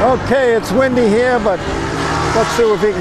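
Dry sound with no echo and clear music in the background. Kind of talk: casual vlog commentary. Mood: enthusiastic, admiring. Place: street. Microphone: phone near.

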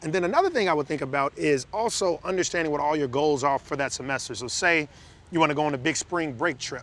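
Fairly high in pitch, this voice belongs to a man. He has an American accent. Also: dry sound with no echo. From Chicago, South Side; Chicago. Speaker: financial educator, co-host. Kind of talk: casual advice chat. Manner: conversational.

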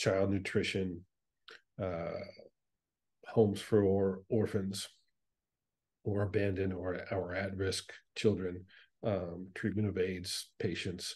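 Very slowly and with long, frequent pauses, a man speaks at a very deep, low pitch, somewhat breathy and monotone, with flat intonation over a quiet background. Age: 60s. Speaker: space educator and space tourist; space educator. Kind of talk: casual chat. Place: home room. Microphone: video call.

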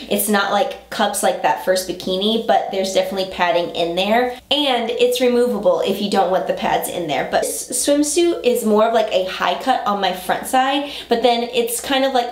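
A woman speaks at a moderate pace with hardly any pauses. Audible room echo surrounds her voice. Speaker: style vlogger. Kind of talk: casual haul chat. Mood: cheerful, enthusiastic. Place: home room.

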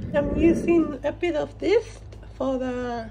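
Light background noise accompanies a woman's voice. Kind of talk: casual cooking vlog narration. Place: kitchen. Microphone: phone near.

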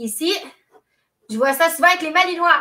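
A woman's raised, projected voice with a Quebec accent, a bright, sharp tone and extremely high pitch, over light background noise. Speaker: dog trainer; dog trainer hosting a live stream. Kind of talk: live stream talk. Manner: conversational. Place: home room. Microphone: webcam.

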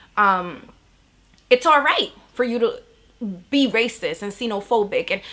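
Here is a woman with a New York accent. She goes at a moderate pace with ordinary pitch variation. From Bronx, New York. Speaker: educator and community organizer. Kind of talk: interview answer. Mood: earnest, reflective. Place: home room.

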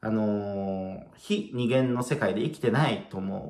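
In a room with audible echo and a quiet background, a man with a dark, mellow tone talks at a very slow pace with ordinary pitch variation. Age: 30s. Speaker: spiritual video blogger. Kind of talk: casual solo talk to camera. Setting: at home, late at night. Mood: relaxed, musing. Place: home room. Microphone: phone near.

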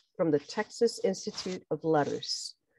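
Lively intonation from a woman in a normal speaking voice, at a moderate pace over a quiet background. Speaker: library program moderator. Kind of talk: formal introduction. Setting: video call. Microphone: video call.

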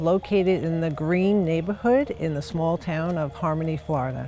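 Light background noise sits under a dry sound with no echo as the voice moves at a moderate pace with ordinary pitch variation. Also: woman. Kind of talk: property tour presentation. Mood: warm, upbeat. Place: street.

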